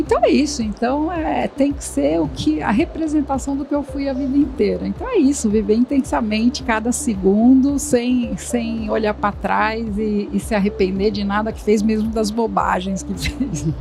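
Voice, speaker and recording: A woman talks with hardly any pauses against noticeable background noise. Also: moderate pace. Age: 60s. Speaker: career expert and company founder. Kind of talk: podcast interview. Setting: studio. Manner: animated.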